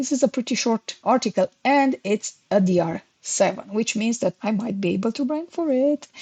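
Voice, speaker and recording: A woman with a non-native accent speaks at a moderate pace in a fairly high pitch, her intonation lively and her tone dark and mellow. The sound is dry and close with no echo, over a quiet background. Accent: foreign. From Romania. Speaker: SEO consultant. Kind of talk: tutorial.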